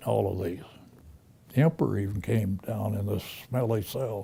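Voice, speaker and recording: This man's voice carries some breathiness. His pitch is on the fairly low side. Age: 90s. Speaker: war veteran. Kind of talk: testimony. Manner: halting.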